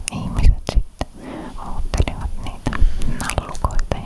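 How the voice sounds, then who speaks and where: Beneath noticeable background noise, the speaker whispers. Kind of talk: ASMR whispered chat. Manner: whispered.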